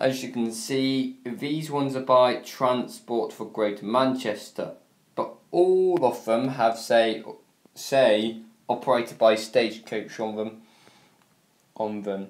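There is audible room echo as a man speaks at a very slow pace. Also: ordinary pitch variation. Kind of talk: casual vlog chat. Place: home room. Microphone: phone near.

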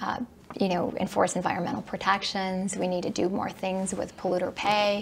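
Speaking at medium pitch with an American accent, a woman keeps her intonation fairly even. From Michigan (Southfield); Michigan. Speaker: political candidate, attorney; candidate. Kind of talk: candidate interview. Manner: hesitant, many fillers. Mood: earnest, calm. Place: studio.

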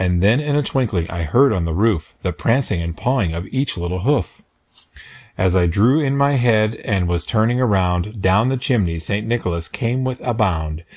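At a moderate pace over a quiet background, a man speaks fairly low-pitched in a sing-song way with lively intonation. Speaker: read-aloud narrator. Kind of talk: reading aloud a children's Christmas poem, storybook narration. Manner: gentle, rhythmic, sing-song storyteller's cadence. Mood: gentle festive storytelling. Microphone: phone near.

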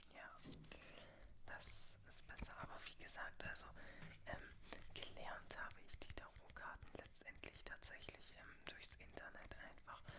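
The speech has long pauses that come often. Loud background noise is present. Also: woman, fairly slow pace. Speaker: tarot reader (roleplay persona). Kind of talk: ASMR roleplay, tarot reading. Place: home room. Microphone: studio mic.

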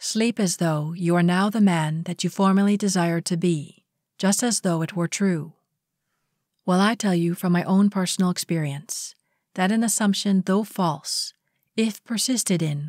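A normal speaking voice at a fairly slow pace with fairly even intonation, dry and close with no echo, in a very clean recording with a silent background. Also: woman. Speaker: audiobook reader. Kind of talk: audiobook reading of a spiritual lecture.

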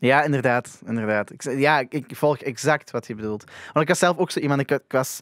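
A man with a Flemish accent goes at a fairly quick pace with hardly any pauses, showing big swings in loudness and ordinary pitch variation. The sound is dry with no echo and the background quiet. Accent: Flemish Dutch. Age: young. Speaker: podcast host. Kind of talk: casual interview. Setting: studio. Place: studio. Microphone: studio mic.

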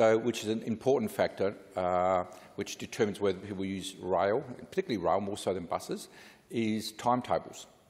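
A man with a plain, everyday voice speaks at a fairly quick pace, his pitch fairly low and his intonation fairly even. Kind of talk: parliamentary speech. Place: hall. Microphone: podium.

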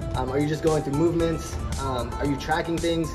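Very fast speech with ordinary pitch variation over clear music in the background. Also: man. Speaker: interviewee. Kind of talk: interview answer. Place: gym. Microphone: phone near.

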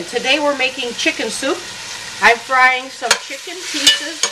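A woman at a fairly slow pace over loud background noise. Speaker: jazz singer. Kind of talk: cooking demonstration. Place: kitchen.

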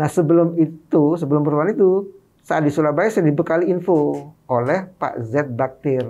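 Speaking at a fairly quick pace, a man with a fairly high voice and a dark, mellow tone uses ordinary pitch variation. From Madura, East Java, Indonesia; East Java, Indonesia. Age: 50s. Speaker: author and activist; guest. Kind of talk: interview. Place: studio. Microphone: studio mic.

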